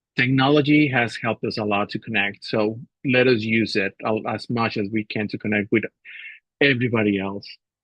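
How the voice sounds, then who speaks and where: With a non-native accent, a man speaks at a fairly quick pace and medium pitch with fairly even intonation. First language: not English. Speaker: assistant professor. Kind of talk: webinar panel talk.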